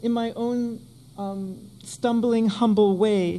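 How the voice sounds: Her tone dark and mellow, a woman speaks at a medium pitch with ordinary pitch variation.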